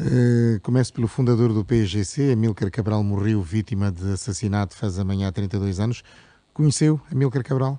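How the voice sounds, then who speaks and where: A man talks in a fairly low voice with a dark, mellow tone. His pace is moderate. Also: ordinary pitch variation. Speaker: radio host. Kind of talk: interview.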